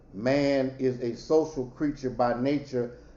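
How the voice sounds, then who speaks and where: In a room with audible echo, a man speaks at a medium pitch and a very slow pace. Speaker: professor. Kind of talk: lecture.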